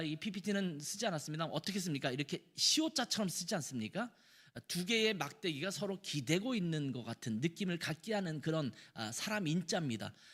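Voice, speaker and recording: Recorded very cleanly against a silent background, a man speaks in a high voice at a fairly quick pace. His pitch swings very widely. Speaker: pastor. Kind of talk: sermon.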